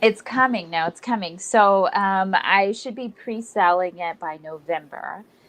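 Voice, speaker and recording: Speaking in an ordinary speaking voice with an American accent, a woman of medium pitch goes at a fairly slow pace with hardly any pauses, ordinary pitch variation and big swings in loudness. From San Antonio, Texas. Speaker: actress, artist and children's book author. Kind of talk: interview answer.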